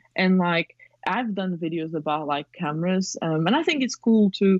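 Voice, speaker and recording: With a non-native accent, a woman speaks at a moderate pace and a fairly low pitch. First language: not English. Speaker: film photographer and filmmaker. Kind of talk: podcast interview. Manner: rambling, hesitant with fillers.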